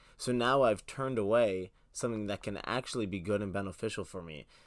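The recording is very clean with a silent background. A man speaks in an unremarkable speaking voice with ordinary pitch variation. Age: young. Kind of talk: casual Bible discussion.

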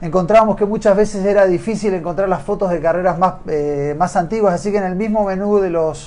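A man's high-pitched voice, dark and mellow in tone, at a moderate pace. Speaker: triathlon show host. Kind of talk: interview.

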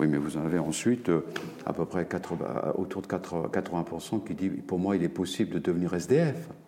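Over noticeable background noise, a man with a very deep, low pitch talks at a fairly slow pace with ordinary pitch variation. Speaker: professor. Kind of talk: interview. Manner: halting.

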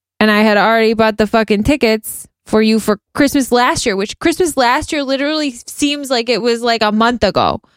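A woman speaks at a fairly high pitch with ordinary variation, her loudness very even and pauses almost absent. The recording is very clean, with a silent background and a dry, close sound with no echo. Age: 30s. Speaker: podcast co-host. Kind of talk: casual chat. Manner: animated.

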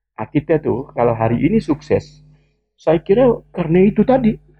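A man is speaking. His pace is fairly quick. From West Kalimantan, Indonesia (Sambas regency). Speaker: education expert. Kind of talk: interview.

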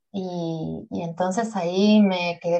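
Here a woman talks in a normal speaking voice, pitched fairly low. Her pitch varies in an ordinary way. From Uruguay, Montevideo. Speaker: yoga nidra teacher and sleep coach. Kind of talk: interview conversation.

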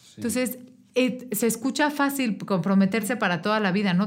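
A woman speaks in a normal speaking voice. Her pace is fairly quick, with ordinary pitch variation. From Mexico (Querétaro). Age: 30s. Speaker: political candidate. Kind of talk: interview.

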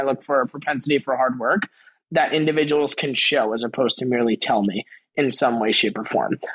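Using an unremarkable speaking voice, a man with an American accent talks at a fairly quick pace and fairly high pitch. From New York, Queens and Long Island. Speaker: venture capital professional. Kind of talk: interview.

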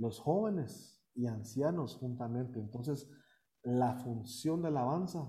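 Audible room echo surrounds a man whose medium-pitched voice has a dark, mellow tone, a somewhat breathy quality and ordinary pitch variation. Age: 30s. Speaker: deacon and youth minister. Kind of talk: interview.

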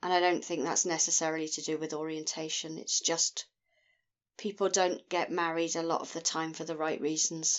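A woman speaks at a moderate pace. Her voice is fairly low in pitch, with a monotone, flat intonation. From Scotland. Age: 50s. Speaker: guest sharing personal experience. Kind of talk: casual chat.

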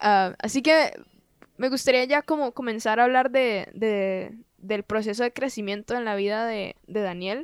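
A woman speaks in a plain, everyday voice, fairly high in pitch with ordinary pitch variation, at a fairly slow pace, in a very clean recording with a silent background and a dry, close sound with no echo. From Costa Rica. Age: 20s. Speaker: podcast host. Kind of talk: casual interview.

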